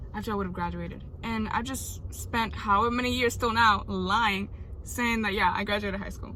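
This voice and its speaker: The pace is moderate. Noticeable background noise and audible room echo come through. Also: woman. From Puerto Rico. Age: 20s. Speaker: vlogger. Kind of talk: personal vlog monologue. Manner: halting.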